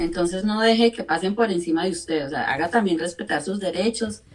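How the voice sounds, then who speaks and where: A woman speaks over noticeable background noise. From Colombia. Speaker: radio and TV presenter, life coach. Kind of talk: interview.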